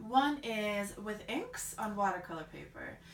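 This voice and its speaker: A woman talks at medium pitch in an American accent. Room echo and background noise are both noticeable. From Bulgaria. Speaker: artist. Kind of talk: vlog introduction. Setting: art studio.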